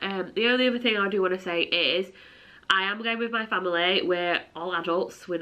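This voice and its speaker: In a Yorkshire accent, a woman talks at a medium pitch with ordinary pitch variation. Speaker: travel vlogger and teacher. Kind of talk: casual vlog talk to camera. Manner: chatty, filler-heavy.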